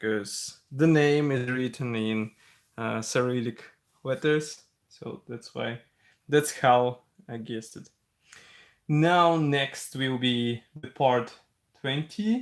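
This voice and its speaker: With a Russian accent, the speaker talks at a very slow pace. Long pauses come often. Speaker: scale model builder, live streamer. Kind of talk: live-stream tutorial. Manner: relaxed, conversational.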